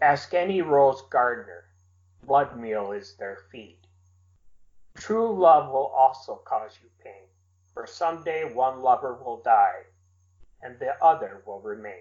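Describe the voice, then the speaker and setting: A man with an American accent at a fairly slow pace, lively intonation, big swings in loudness, and long, frequent pauses. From US Midwest. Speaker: poet. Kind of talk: interview.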